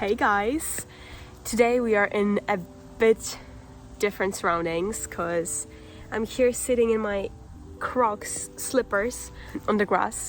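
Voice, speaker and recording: Speaking in a Polish accent, a woman talks at a very slow pace with long, frequent pauses, her medium-pitched voice showing ordinary pitch variation. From Poland. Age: 18. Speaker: vlogger. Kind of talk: casual vlog talk.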